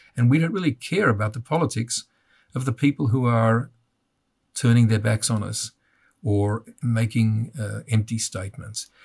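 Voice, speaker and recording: A somewhat breathy, medium-pitched man with an Australian accent at a moderate pace, with ordinary pitch variation and long, frequent pauses, on a very clean, dry, close recording with a silent background and no echo. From Australia (Melbourne). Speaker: father of terror victim, advocate. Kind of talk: interview.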